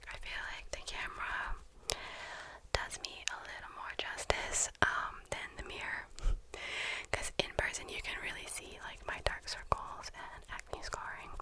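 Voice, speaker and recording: With noticeable background noise around it, the whisper unfolds at a fairly slow pace. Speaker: ASMR artist. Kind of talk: ASMR casual ramble. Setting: close binaural microphone. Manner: whispered.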